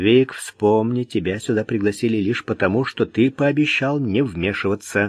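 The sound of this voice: An unforced reading voice carries the text, with pitch varying in an ordinary way.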